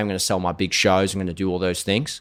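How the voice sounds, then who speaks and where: At a very fast pace, a man with an Australian accent speaks in an animated tone and a fairly low pitch, on a very clean recording with a silent background. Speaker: singer-songwriter and social media personality. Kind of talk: podcast interview.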